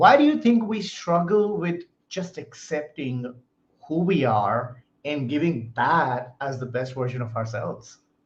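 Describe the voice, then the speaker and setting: Lively intonation in a somewhat breathy voice. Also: man. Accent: American. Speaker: podcast host. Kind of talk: interview. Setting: live stream.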